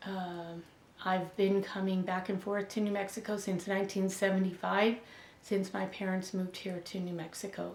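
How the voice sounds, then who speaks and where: With an American accent, a woman talks at a moderate pace and medium pitch in a flat, monotone way, with audible room echo. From Buffalo, New York. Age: 60s. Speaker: educator. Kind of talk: interview answers. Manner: halting, many fillers.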